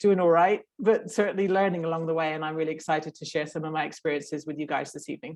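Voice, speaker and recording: A woman with a British accent speaks at a fairly low pitch with fairly even intonation. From Great Britain. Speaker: professional skydiver. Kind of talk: online workshop talk.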